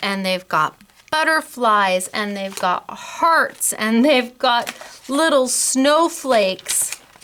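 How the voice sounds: Bright, sharp and clear, smooth tone at a very slow pace, with lively intonation. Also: woman.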